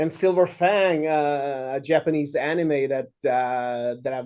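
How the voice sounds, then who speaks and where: Speaking with a Swedish accent, a man has a dark, mellow tone and fairly high pitch with ordinary pitch variation. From Sweden. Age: 40s. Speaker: filmmaker and musician. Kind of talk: interview. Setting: video call.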